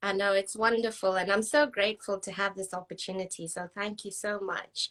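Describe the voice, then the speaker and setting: Talking at a fairly quick pace, a woman with a slight Scottish accent uses a medium pitch and fairly even intonation. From Zambia. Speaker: spiritual life coach. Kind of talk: casual interview chat.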